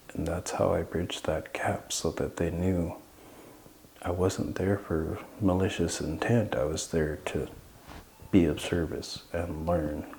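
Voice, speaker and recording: Audible room echo surrounds a man speaking at a fairly slow pace with a very deep, low pitch, fairly even intonation and long, frequent pauses. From Southeast Alaska (Klukwan and Sitka). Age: 40s. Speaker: Tlingit cultural knowledge keeper. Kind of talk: interview. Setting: historic hall.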